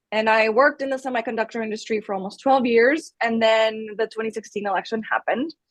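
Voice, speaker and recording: A woman rattles along at a very fast pace with hardly any pauses, her voice fairly high and her pitch varying in an ordinary way. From Colombia. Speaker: political video creator. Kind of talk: personal story in interview.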